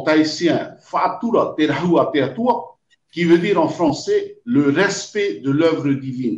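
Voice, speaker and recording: Very slowly, a man speaks with a high pitch and lively intonation. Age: 60s. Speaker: environmental association president. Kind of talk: video call interview.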